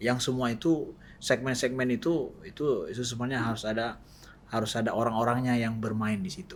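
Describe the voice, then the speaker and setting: Speaking at a medium pitch, a man's voice comes with audible room echo. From Aceh, Indonesia. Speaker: Islamic preacher. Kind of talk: podcast interview. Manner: halting, many fillers.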